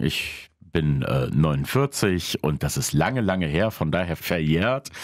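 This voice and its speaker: A man at a very slow pace, dry sound with no echo, quiet background. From Krefeld, Lower Rhine, Germany (moved from Poland at five); Germany. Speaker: jazz club owner; podcast guest. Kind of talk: casual chat. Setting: studio. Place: studio.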